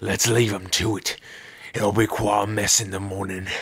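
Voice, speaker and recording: This man's voice is raspy and fairly low in pitch. He speaks at a moderate pace with monotone, flat intonation. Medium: audio drama. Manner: mocking, gleeful, cruel.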